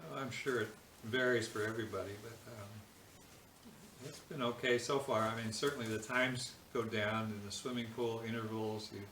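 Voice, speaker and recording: There is audible room echo and noticeable background noise as a man with an American accent talks with fairly even intonation. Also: medium pitch for a man, moderate pace. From US West Coast, San Francisco Bay Area. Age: 70s. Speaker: physician and ultra-endurance athlete. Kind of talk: casual interview. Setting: interview at his home.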